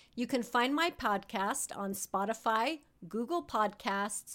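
A woman with a fairly high voice talks very slowly. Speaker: podcast host. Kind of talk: casual interview.

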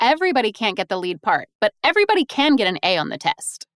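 Very fast speech in an American accent with very wide pitch swings, on a very clean recording with a silent background and a dry, close sound with no echo. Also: woman. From US South, Raleigh, North Carolina. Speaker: voiceover artist and audiobook narrator. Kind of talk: interview.

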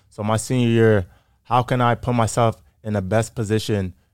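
Here a man with an American accent speaks in a plain, everyday voice. His pitch is fairly low, his pace moderate, and his intonation fairly even. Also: very clean recording, silent background. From Massachusetts, Framingham. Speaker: pro football player. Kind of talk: casual interview chat.

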